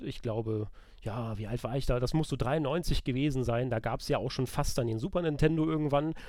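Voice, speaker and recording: Speaking at a fairly quick pace, a man has an unremarkable speaking voice at medium pitch with ordinary pitch variation. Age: 30s. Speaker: video game journalist. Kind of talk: casual chat.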